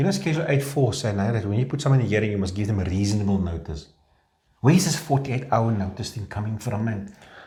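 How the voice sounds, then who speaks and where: Someone with a South African accent talks at a very fast pace with lively intonation. Audible room echo surrounds the voice. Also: man, fairly low pitch for a man. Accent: Afrikaans South African English. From South Africa, Afrikaans-speaking. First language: Afrikaans. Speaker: labour law practitioner. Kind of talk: casual discussion.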